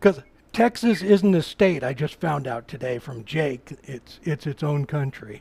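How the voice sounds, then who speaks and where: With an American accent, the voice has a dark, mellow tone, somewhat breathy, moving at a fairly slow pace with lively intonation and big swings in loudness. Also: man, fairly high pitch for a man. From Oregon, US Pacific Northwest. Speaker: woodturner. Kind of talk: live-stream tutorial with chat. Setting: workshop live stream. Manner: casual, halting with repetitions.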